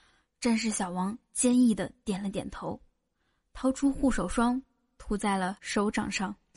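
Over a quiet background, a woman speaks at a fairly high pitch with ordinary pitch variation. Her loudness swings widely. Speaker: comedy podcast host. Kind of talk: joke telling; casual chat. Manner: animated.

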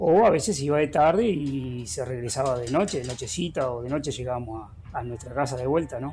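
A man speaks at a fairly quick pace with a Uruguayan accent, his voice somewhat breathy and at a medium pitch. His delivery has ordinary pitch variation and a dark, mellow tone. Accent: rioplatense Uruguayan Spanish. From Uruguay, Florida department (Villa Cardal). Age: 50s. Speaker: agricultural teacher. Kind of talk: interview. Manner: halting with fillers.

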